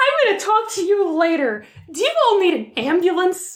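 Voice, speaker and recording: A woman puts on a character voice with a Minnesota accent, pitched extremely high and squeaky. Her pitch swings very widely. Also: moderate pace. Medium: actual play. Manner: folksy, friendly.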